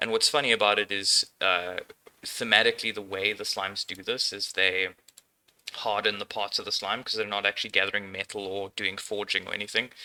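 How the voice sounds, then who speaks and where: Speaking at a fairly quick pace, a man with a German accent has a bright, sharp tone, a fairly low pitch and fairly even intonation. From Austria. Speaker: indie game developer. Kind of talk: casual dev tutorial. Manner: relaxed, frequent filler words.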